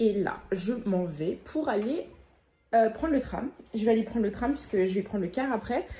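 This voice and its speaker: Her voice is somewhat breathy, with a dark, mellow tone and a fairly high pitch. The woman's intonation is lively. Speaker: vlogger. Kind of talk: casual vlog. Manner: animated.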